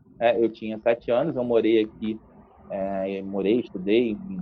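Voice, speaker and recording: This is a man speaking. His pitch sits fairly low. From Brazil, Rio de Janeiro state (Niterói, Serra region). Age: 30s. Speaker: journalist. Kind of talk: casual interview. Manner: loud.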